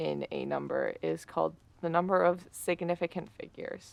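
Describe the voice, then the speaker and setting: A woman speaks at a moderate pace. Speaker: ASMR creator. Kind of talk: sleep aid ASMR textbook reading. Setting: ambient fireplace and rain sounds in background. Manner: soft, relaxing, occasionally stumbling over words.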